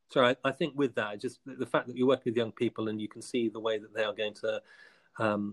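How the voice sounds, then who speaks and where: Speaking at a fairly quick pace, a man with a southern English accent has a medium pitch. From southern England, Hampshire. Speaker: school head teacher. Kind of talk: interview.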